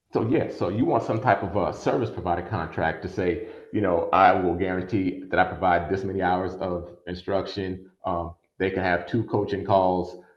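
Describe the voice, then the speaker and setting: Room echo surrounds a man with a very deep, low pitch. His intonation is fairly even. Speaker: attorney and workshop presenter. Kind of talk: online workshop lecture. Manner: fast.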